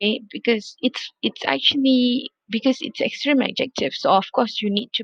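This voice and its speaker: A woman with a non-native accent speaks at a moderate pace, recorded with a dry, close sound with no echo. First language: not English. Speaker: English lecturer. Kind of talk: recorded video lecture. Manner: repetitive, with many fillers.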